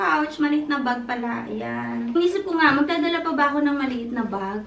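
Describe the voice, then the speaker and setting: With audible room echo, a woman speaks with lively intonation. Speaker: vlogger. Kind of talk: vlog monologue. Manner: chatty.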